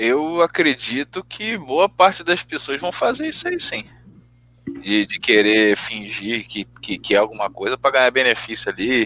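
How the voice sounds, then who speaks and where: A man speaks fairly slowly at a medium pitch, his tone bright and sharp with very wide swings in pitch. The sound is dry and close, with no echo. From Rio de Janeiro, Brazil. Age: 20s. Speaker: podcast guest. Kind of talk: casual chat.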